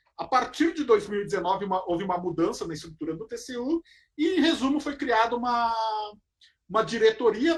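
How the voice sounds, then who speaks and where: Talking at a fairly quick pace with a southern Brazilian accent, a man uses lively intonation in a high voice. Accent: gaúcho Brazilian Portuguese. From southern Brazil, Porto Alegre. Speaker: federal auditor. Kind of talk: lecture.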